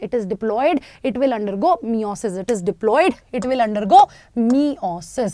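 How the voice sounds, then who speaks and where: Over noticeable background noise, a woman with a fairly high pitch speaks with lively intonation in a dry, close sound with no echo. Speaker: biology teacher. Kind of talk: online live class lecture. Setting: live online stream. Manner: fast; animated, repetitive.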